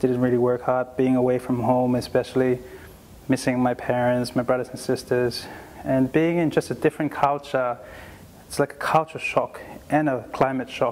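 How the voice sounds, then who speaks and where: Speaking with a Tongan accent, a man holds a medium pitch in a monotone, flat delivery at a moderate pace amid noticeable background noise. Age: 20s. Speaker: doctor. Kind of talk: motivational talk to students. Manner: earnest, encouraging.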